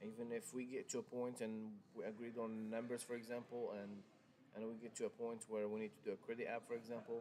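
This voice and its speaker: A man with a strong non-native accent speaks very fast in a monotone, flat way. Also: medium pitch for a man. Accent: thick foreign. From Morocco. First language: Arabic. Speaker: car salesman. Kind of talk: live stream sales talk. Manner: hesitant, many fillers and restarts.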